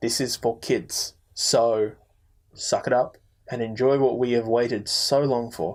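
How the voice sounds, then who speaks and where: With an Australian accent, a man at medium pitch talks fairly slowly in a flat monotone. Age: 20s. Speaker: podcast co-host. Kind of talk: casual chat.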